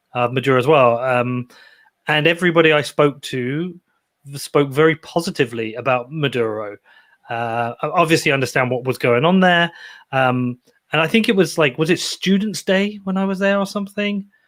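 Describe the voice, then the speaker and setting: In a very clean recording with a silent background, a man speaks at a moderate pace with a fairly high pitch and lively intonation. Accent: British. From Britain. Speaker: podcaster. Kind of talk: interview.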